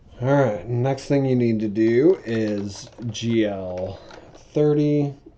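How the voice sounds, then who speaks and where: The speech comes at a very slow pace with ordinary pitch variation over noticeable background noise. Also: man, medium pitch for a man. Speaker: programming tutorial creator. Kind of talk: coding tutorial.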